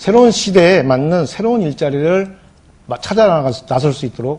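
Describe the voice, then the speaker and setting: A man's pitch swings very widely as he talks at a moderate speed. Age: 50s. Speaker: election candidate. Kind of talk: televised debate.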